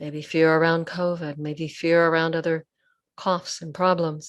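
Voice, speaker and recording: A woman speaks at a fairly slow pace in a plain, everyday voice with a fairly low pitch, over a quiet background. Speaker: Buddhist nun, meditation teacher. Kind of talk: guided meditation. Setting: online video session recording. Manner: calm, slow, soft-spoken.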